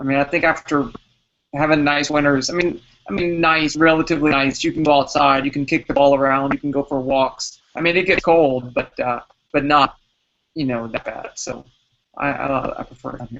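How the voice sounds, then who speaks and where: Using a normal speaking voice with an American accent, a man talks at a fairly quick pace, his pitch fairly high and his intonation fairly even. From US South (Alabama, Texas, Mississippi), then Chicago suburbs. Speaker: physics professor and podcast co-host. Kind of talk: casual chat.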